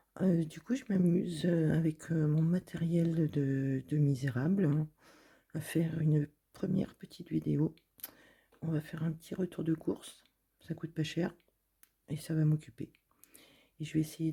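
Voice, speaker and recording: A woman with a very deep, low pitch and a dark, mellow tone speaks at a fairly slow pace, somewhat breathy, with long, frequent pauses. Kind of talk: reading and commenting on a supermarket flyer. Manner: casual, chatty.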